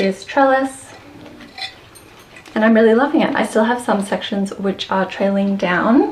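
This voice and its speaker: A woman speaks with an Australian accent over noticeable background noise. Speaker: houseplant content creator. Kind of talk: tutorial.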